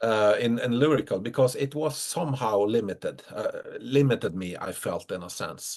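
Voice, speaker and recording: A man with a Norwegian accent speaks at a moderate pace, his loudness swinging widely. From Norway. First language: Norwegian dialect. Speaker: metal musician. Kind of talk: interview. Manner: halting.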